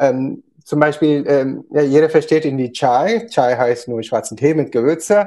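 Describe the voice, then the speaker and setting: Speaking at a very slow pace, a man has a dark, mellow tone and a fairly high pitch. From India, Kerala. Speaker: company founder. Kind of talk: interview. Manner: halting, many fillers.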